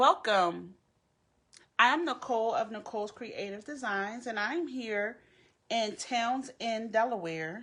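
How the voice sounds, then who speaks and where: With a Philadelphia accent, a woman talks at a fairly slow pace with lively intonation. Her fairly high voice has a bright, sharp tone against a quiet background. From Philadelphia, US. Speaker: crafter. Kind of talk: live craft tutorial. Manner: halting, many fillers.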